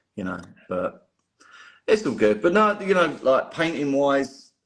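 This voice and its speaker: With a strong London accent, a man speaks at a moderate pace and with ordinary pitch variation. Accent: London accent, still strong. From North London, England. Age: 40s. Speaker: miniature painter. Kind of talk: podcast interview. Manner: casual, many repetitions.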